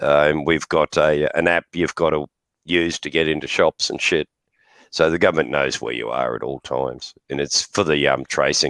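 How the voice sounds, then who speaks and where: With an Australian accent, a man with a very deep, low pitch and vocal fry talks at a moderate pace in fairly even intonation, the sound dry and close with no echo. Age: 60s. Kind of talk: casual chat. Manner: hesitant, filler-heavy.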